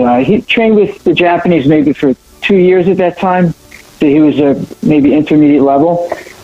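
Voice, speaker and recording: A man's fairly high-pitched voice comes through against noticeable background noise. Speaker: martial arts champion, panelist. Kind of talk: panel discussion.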